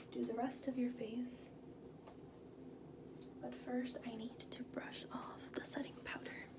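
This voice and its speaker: Amid loud background noise, a soft-spoken woman with a high pitch talks in a monotone, flat intonation, leaving long, frequent pauses. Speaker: ASMR artist doing a makeup artist roleplay; makeup tutorial host. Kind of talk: makeup artist roleplay narration to the viewer. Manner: soft, calm, slow. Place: bathroom. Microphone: phone near.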